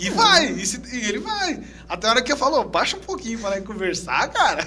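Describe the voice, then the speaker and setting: Amid noticeable background noise, a man speaks at a fairly quick pace in a raised, projected voice, with extremely high pitch and very wide pitch swings. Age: 40s. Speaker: podcast host. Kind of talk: podcast interview. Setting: studio.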